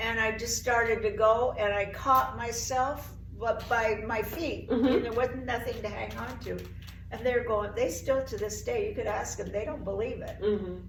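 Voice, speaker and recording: A woman talks at a moderate pace with an American accent. Noticeable background noise is present. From Oregon, USA. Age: 80s+. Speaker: CrossFit member. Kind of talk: interview answer.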